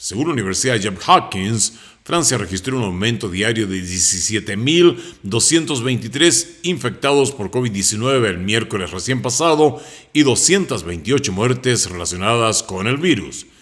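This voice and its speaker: A man speaks in a normal speaking voice at medium pitch. His moderate pace carries a lively intonation. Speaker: news anchor. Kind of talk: news broadcast presentation.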